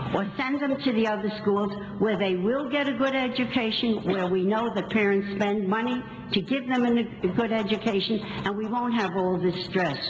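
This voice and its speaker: Speaking at a moderate pace with very even loudness, a woman with an American accent is heard amid noticeable background noise and audible room echo. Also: fairly high pitch for a woman, ordinary pitch variation. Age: 80s+. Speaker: local resident speaking at public meeting. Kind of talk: public comment at school board meeting. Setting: school board meeting.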